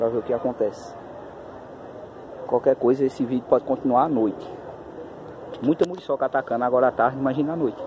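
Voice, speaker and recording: Amid noticeable background noise, a man talks at a very fast pace broken by long, frequent pauses, the sound dry with no echo. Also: ordinary pitch variation. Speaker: paranormal explorer youtuber; vlogger exploring. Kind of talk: vlog narration on location. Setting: outdoors in woods. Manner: speaking quietly. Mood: cautious, tense. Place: forest. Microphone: phone near.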